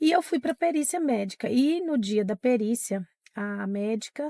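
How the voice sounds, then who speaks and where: Breathy and high-pitched, a woman's voice carries a dark, mellow tone. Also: dry, close sound with no echo. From Minas Gerais, Brazil (Diamantina). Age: 40s. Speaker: teacher. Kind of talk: interview testimony.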